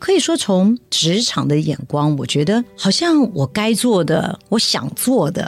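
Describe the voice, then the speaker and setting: Speaking at a fairly slow pace, a woman at medium pitch leaves hardly any pauses. Her pitch swings very widely. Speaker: charity chairwoman, former tech executive. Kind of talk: interview.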